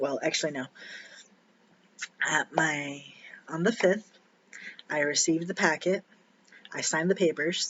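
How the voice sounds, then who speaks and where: A man speaks quietly in a fairly high voice. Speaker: vlogger sharing personal surgery experience. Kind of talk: casual personal vlog. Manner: halting, many fillers.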